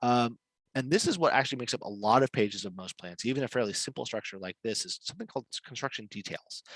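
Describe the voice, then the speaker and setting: The delivery comes at a very fast pace with big swings in loudness and ordinary pitch variation, in a dry, close sound with no echo. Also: man, medium pitch for a man. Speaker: webinar presenter on building permits. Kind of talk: webinar presentation. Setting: online webinar.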